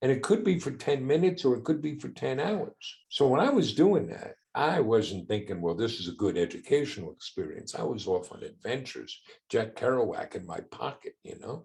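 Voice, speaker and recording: Vocal fry runs through a man's fairly high voice, which has very wide pitch swings and big swings in loudness. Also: moderate pace, hardly any pauses. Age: 60s. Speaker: entrepreneur and father of a son with Down syndrome. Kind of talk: podcast interview.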